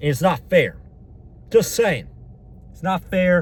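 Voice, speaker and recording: A man speaks in an angry tone with ordinary pitch variation. His voice is somewhat breathy. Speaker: unemployed vlogger. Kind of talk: vlog rant. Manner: angry, repetitive; whispering.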